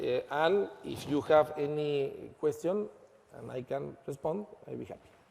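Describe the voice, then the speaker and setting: A man speaks at a fairly slow pace with a Spanish accent. His loudness swings widely. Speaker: lawyer and law firm founder. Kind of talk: conference presentation. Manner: halting.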